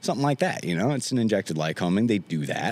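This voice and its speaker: A man speaks at a very fast pace in an animated tone. His intonation is lively. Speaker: aircraft mechanic, A&P school graduate. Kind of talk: casual chat. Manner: raised pitch customer service voice.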